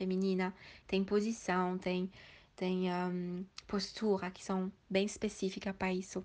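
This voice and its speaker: A woman's medium-pitched voice, flat and monotone, at a very slow pace over a quiet background. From Switzerland. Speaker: sacred feminine practitioner. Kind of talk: interview. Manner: halting.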